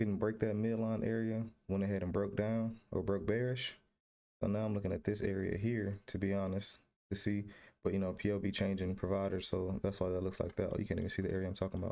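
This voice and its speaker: In a very clean recording with a silent background, a man with a fairly low pitch and a dark, mellow tone speaks at a very fast pace, with monotone, flat intonation and very even loudness. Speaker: trading video creator. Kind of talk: screen-share trading tutorial. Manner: casual, slangy.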